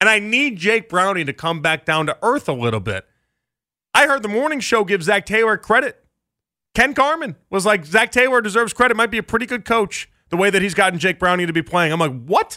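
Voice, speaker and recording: A man with an American accent projects a raised, high-pitched voice with a bright, sharp tone and lively intonation at a fairly quick pace. The recording is very clean, with a silent background and a dry, close sound with no echo. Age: 30s. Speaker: sports radio host. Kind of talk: live radio talk show. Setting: radio studio. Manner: animated, conversational.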